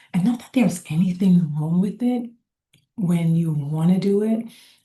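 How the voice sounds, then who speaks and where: A soft-spoken woman talks at a fairly slow pace. Her tone is dark, mellow and somewhat breathy. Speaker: lifestyle vlogger. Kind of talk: casual talk to camera. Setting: public co-working space.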